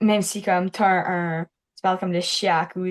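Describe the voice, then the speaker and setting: A woman at medium pitch, very slow and monotone, with a quiet background and a dry, close sound with no echo. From Manitoba and Alberta, Canada. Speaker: youth francophone advocate. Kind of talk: interview testimony. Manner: hesitant, many fillers.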